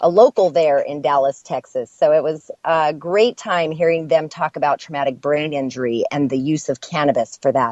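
Fairly low in pitch, a woman's voice shows ordinary pitch variation. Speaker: radio host. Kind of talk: casual chat. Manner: animated.

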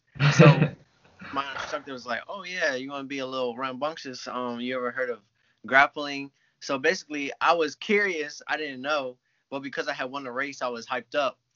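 A man speaks at a fairly quick pace with fairly even intonation and a fairly high pitch, in an ordinary speaking voice. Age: 20s. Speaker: jiu-jitsu athlete. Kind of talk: casual chat.

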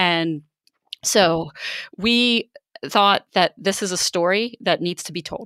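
A woman with an American accent, medium pitch, ordinary pitch variation and a bright, sharp tone, at a very slow pace with long, frequent pauses, in a dry, close sound with no echo. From Baltimore, US. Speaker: journalist and podcast co-host. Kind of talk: interview conversation. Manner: hesitant, many fillers.

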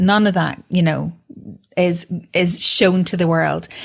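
A woman with a plain, everyday voice, medium in pitch, at a moderate pace. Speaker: podcast host and broadcaster. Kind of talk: interview.

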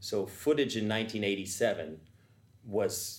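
Somewhat breathy and fairly low, a man's voice moves with ordinary pitch variation amid audible room echo. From Vienna, Austria. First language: German. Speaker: tap dancer. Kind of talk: panel discussion.

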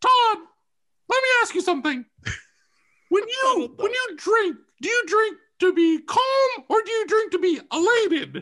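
A man uses a squeaky, put-on character voice at an extremely high pitch. He leaves long, frequent pauses. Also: fairly slow pace. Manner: probing, asking about drinking.

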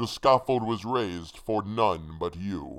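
A man uses a put-on character voice with a fairly low pitch and a fairly bright tone. He talks at a slow pace with lively intonation.

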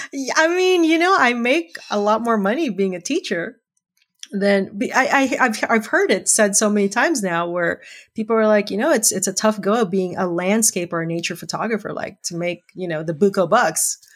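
A woman speaks in a normal speaking voice with lively intonation, on a very clean recording with a silent background. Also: fairly high pitch for a woman, moderate pace. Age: 50s. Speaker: English teacher and photographer. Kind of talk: casual chat.

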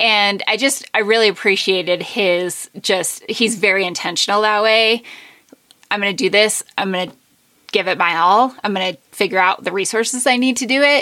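Bright and sharp in tone, a woman speaks with an American accent and ordinary pitch variation. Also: medium pitch for a woman, moderate pace. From Colorado, US (San Juan Mountains). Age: 30s. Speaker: ultrarunner. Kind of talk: interview.

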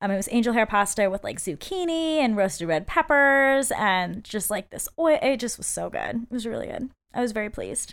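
A woman's fairly high voice with very wide pitch swings on a very clean recording with a silent background. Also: fairly quick pace. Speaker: podcast host. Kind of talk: casual chat. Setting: studio, empty room with echo.

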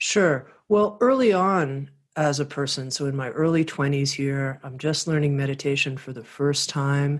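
Against a quiet background, a woman with an American accent and a very deep, low pitch speaks at a moderate pace with ordinary pitch variation and hardly any pauses. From US South, Miami, Florida. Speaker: spiritual publisher and podcast host. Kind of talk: interview.

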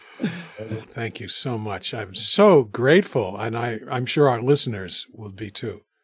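With a normal speaking voice, a man talks at a fairly slow pace and medium pitch, using lively intonation and big swings in loudness. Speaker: podcast co-host. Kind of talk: interview conversation.

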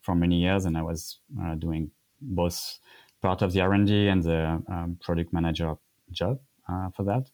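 Very deep, low male speech, moderately paced, its intonation fairly even. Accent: French. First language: French. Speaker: cycling industry expert. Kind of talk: casual interview chat. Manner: halting, many fillers.

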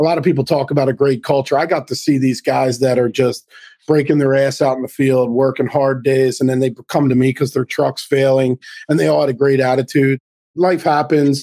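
A man with an ordinary speaking voice talks at a fairly quick pace in a medium pitch. His intonation is fairly even, his loudness very even, and the sound is dry and close with no echo. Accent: American. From Baltimore, US Mid-Atlantic. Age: 50s. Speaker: business consultant. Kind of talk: podcast interview.

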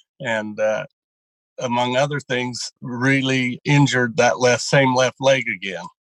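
With a plain, everyday voice, a man speaks in a medium pitch at a fairly slow pace. His intonation is fairly even, and the sound is dry and close with no echo. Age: 60s. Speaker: dairy farmer and draft horse racer. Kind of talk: interview about weight loss.

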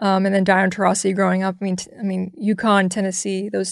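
Over a quiet background, a woman with an American accent speaks at medium pitch in a flat, monotone way. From US South. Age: 30s. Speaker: basketball analyst. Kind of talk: interview. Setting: studio.

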